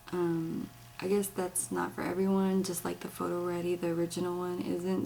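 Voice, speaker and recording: With noticeable background noise around her, the woman's voice sits at a fairly low pitch. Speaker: beauty vlogger. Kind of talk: product demo and review. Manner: speaking low; casual, many fillers.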